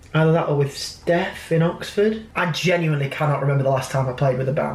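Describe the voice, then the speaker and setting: A man speaks very fast in a fairly high pitch. Audible room echo and noticeable background noise surround his voice. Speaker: musician and vlogger. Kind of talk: casual vlog talk. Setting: in a car.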